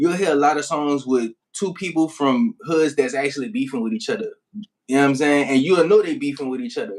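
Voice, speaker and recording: A man with a New Orleans accent, fairly high pitch and lively intonation, talking at a fairly quick pace with hardly any pauses. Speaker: rap artist. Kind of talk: casual interview.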